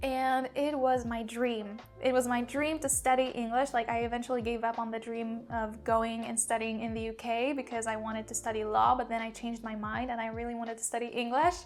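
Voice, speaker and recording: Music plays behind a woman with a fairly high pitch. She speaks at a fairly quick pace in a monotone, flat way, with hardly any pauses. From Poland. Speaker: language mentor and YouTuber. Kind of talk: casual talk to camera, personal story. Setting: YouTube video.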